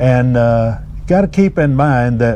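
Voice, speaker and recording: A man's speech carries ordinary pitch variation, with noticeable background noise throughout. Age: 70s. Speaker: angler. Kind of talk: casual chat. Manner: halting.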